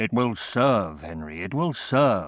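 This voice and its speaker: Using a put-on character voice, this man speaks with a fairly low pitch. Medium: read story.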